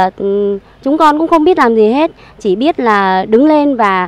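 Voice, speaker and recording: Lively intonation at a moderate pace, with a dry sound and no echo. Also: woman. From Saigon, Vietnam. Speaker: evicted resident. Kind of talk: testimony. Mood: aggrieved, earnest recounting. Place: garden. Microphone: handheld.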